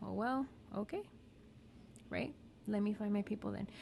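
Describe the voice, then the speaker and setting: A woman is mumbling. Her pace is moderate. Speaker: therapist. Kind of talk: casual educational talk. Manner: casual, conversational.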